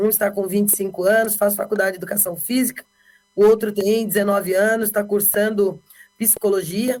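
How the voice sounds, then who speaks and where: At a fairly quick pace, a woman with a medium pitch speaks in a monotone, flat intonation. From Brazil, Bauru, São Paulo state. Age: 50s. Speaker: politician. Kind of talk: interview.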